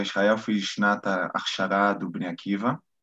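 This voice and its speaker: This man's voice sits fairly low in pitch. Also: quiet background. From Brazil, Rio de Janeiro. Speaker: military lawyer. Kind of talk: interview.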